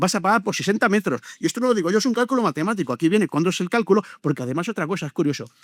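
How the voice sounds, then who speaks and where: Hardly pausing, a man talks at a very fast pace with lively intonation, in a dry, close sound with no echo. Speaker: local councillor. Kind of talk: panel debate. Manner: animated.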